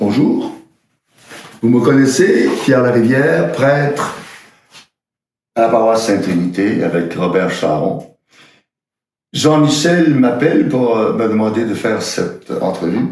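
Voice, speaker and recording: Amid audible room echo, a man with a medium pitch and lively intonation speaks at a very slow pace, leaving long, frequent pauses. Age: 70s. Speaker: priest. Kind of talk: personal video message. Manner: halting, frequent hesitations.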